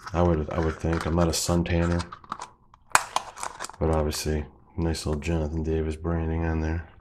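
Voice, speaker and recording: A man's very deep, low pitch and monotone, flat intonation, with noticeable background noise. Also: moderate pace. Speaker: abstract painter; bass guitarist. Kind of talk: casual unboxing talk to camera.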